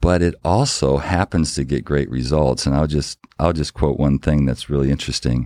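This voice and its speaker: A man talks at a moderate pace in a very deep, low voice with a dark, mellow tone. He hardly pauses, and the sound is dry and close with no echo. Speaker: business executive and author. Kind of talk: interview conversation.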